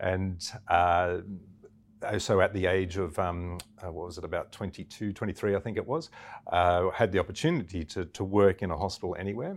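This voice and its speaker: With an Australian accent, a man speaks at a fairly quick pace in a very deep, low pitch. The recording is very clean, with a silent background. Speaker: missionary doctor. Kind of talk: interview.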